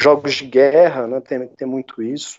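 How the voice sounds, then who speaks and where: With a rural Minas Gerais accent, a man talks at a fairly high pitch. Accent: Minas Gerais interior. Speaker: history teacher and game developer. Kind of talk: interview conversation.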